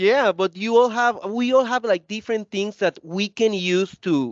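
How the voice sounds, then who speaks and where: Loud and energetic, a man with a high pitch speaks at a moderate pace. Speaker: corporate training executive. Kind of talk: interview conversation.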